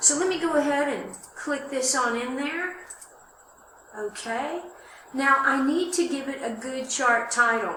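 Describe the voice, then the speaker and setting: A woman with a high pitch speaks in a raised, projected voice at a fairly slow pace, with ordinary pitch variation, long, frequent pauses, audible room echo and noticeable background noise. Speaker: college instructor. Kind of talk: tutorial. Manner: loud.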